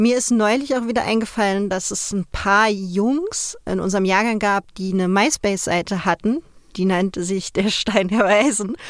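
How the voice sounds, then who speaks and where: This woman has a plain, everyday voice and a medium pitch. She keeps a moderate pace, and her pitch varies in an ordinary way. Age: 30s. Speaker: interviewee, former magazine nude model. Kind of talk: interview.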